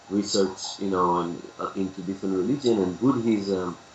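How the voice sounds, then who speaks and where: Against noticeable background noise, a man with an Israeli accent talks at a fairly low pitch with ordinary pitch variation. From Israel, Tel Aviv. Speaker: capoeira teacher. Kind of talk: interview.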